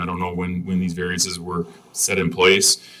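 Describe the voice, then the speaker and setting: A man with a very deep, low pitch talks fairly quickly, and noticeable background noise can be heard. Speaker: variance applicant. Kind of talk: public hearing testimony. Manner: fast; halting.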